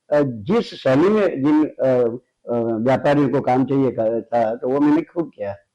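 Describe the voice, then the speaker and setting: Lively intonation marks this man's fairly high-pitched voice, which has a dark, mellow tone. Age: 70s. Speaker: painter and art teacher. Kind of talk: interview. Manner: halting, many fillers.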